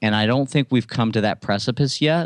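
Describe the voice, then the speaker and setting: A man's plain, everyday voice at medium pitch, with ordinary pitch variation, in a dry, close sound with no echo and a very clean recording with a silent background. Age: 30s. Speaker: entrepreneur and motivational speaker. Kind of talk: interview.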